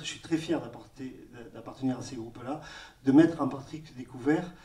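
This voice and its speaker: A man's fairly high voice with fairly even intonation at a moderate pace. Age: 50s. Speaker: organic farmer. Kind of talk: round-table discussion. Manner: halting.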